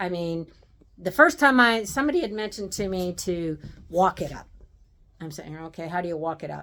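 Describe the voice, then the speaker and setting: Fairly low pitch for a woman, at a moderate pace. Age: 60s. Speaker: home renovation vlogger. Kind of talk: casual video update. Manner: halting, many fillers.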